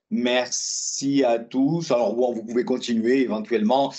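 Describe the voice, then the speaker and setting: A man is talking. His pace is fairly slow. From southwest France, Lot-et-Garonne. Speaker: trade union trainer. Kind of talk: webinar presentation. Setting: online webinar. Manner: halting, many hesitations.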